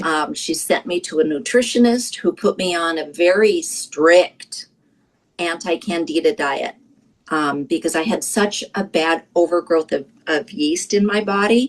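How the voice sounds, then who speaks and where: A woman's fairly low-pitched voice, an ordinary speaking voice, with lively intonation and a fairly slow pace. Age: 60s. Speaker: product user sharing success story. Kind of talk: testimony.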